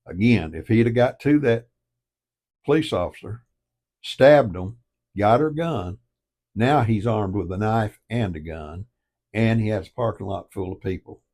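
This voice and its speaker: With a Southern US accent, a man talks at a moderate pace in a fairly low pitch and lively intonation, leaving long, frequent pauses on a very clean recording with a silent background. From US South. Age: 70s. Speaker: online commentator. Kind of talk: casual monologue. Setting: home office by fireplace. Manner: emphatic.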